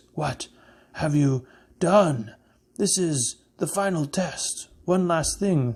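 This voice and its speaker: Doing a put-on character voice, a man growls in a guttural, high-pitched tone at a very slow pace with long, frequent pauses. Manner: menacing, beastly.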